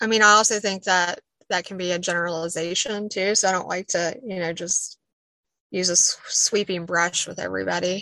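Speaking with an Appalachian accent, a woman with a bright, sharp tone talks at a fairly quick pace. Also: medium pitch for a woman. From Southwest Virginia, Appalachia. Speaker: poet and Appalachian native. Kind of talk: casual interview conversation. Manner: more animated when excited.

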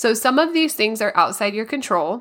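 A woman with a bright, sharp tone and lively intonation, in a very clean recording with a silent background. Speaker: podcast host. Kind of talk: educational podcast talk. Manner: informative, instructional.

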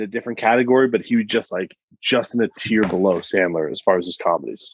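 A man talks at a medium pitch. His pace is very fast. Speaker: podcast host. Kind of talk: casual banter podcast. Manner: joking, animated.

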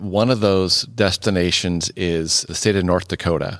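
Very deep and low, a man's voice comes through with an American accent. The recording is very clean and dry, with a silent background and no echo. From US Midwest, Iowa. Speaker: retired school principal, travel blogger. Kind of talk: casual chat.

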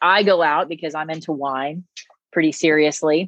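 A woman with an American accent speaks at a very deep, low pitch with fairly even intonation. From US South, Nashville, Tennessee. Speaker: former pro cyclist and endurance coach. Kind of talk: casual interview chat.

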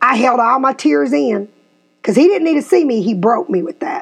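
A woman with a Tennessee accent speaks at a fairly quick pace in a high, animated voice whose pitch swings very widely. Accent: US Southern (Tennessee). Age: 50s. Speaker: podcast host and real estate agent. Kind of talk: casual chat.

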